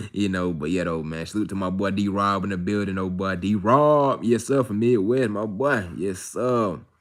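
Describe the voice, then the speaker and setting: A man's fairly low voice with ordinary pitch variation and hardly any pauses. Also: very clean recording, silent background. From Atlanta, US South. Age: 20s. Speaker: live streamer. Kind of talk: casual live stream chat. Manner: fast.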